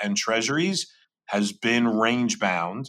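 A bright, sharp tone with very wide pitch swings moves at a fairly slow pace. The recording is very clean, with a silent background. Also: man. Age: 50s. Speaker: investment firm executive, co-host. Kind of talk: casual chat about markets. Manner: halting, many fillers.

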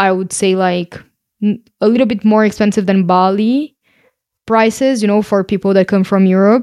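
In a Portuguese accent, a woman speaks at a moderate pace with a medium pitch, a dark, mellow tone and fairly even intonation. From Brazil. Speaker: podcast co-host, digital nomad. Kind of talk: casual chat.

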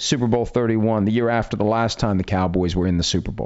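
An ordinary speaking voice belongs to this man, who has an American accent, medium pitch and a fairly quick pace. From West Virginia. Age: 50s. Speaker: podcast host. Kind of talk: casual chat.

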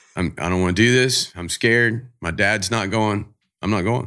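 Speaking with a Southern US accent, a man's bright, sharp tone comes through on a very clean recording with a silent background. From US South, Jacksonville, Florida. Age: 50s. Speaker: fishing charter captain and TV host. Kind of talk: casual interview.

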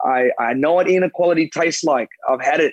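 With an Australian accent, a man talks at a fairly quick pace in a fairly high pitch, the sound dry and close with no echo. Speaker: former Olympic athlete and pundit. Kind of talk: casual chat. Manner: animated.

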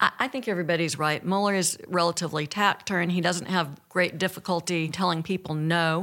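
A woman with an Alabama accent, fairly low in pitch, bright and sharp in tone, at a fairly quick pace. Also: fairly even intonation, hardly any pauses, very clean recording, silent background. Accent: Southern US (Alabama). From US South. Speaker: former federal prosecutor. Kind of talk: panel discussion. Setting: studio.

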